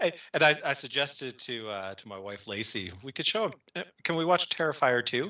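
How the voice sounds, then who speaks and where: Speaking at a fairly quick pace, a man with a medium pitch makes very wide pitch swings. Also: big swings in loudness. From Minnesota. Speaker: podcast host. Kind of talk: casual chat. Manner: halting.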